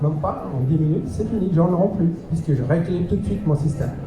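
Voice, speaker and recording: Ordinary pitch variation with noticeable background noise and audible room echo. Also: man. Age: 60s. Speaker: alternative health teacher and martial arts instructor. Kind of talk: lecture.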